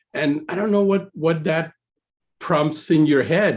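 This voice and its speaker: A man is talking. His speech carries a Spanish accent. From Puerto Rico. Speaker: computer science professor. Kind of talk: presentation. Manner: halting, many fillers.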